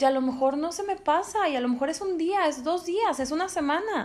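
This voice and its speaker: Her intonation rises and falls with lively movement. The pace stays moderate throughout. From Monterrey, Mexico. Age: 30s. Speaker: sales professional. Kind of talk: casual chat.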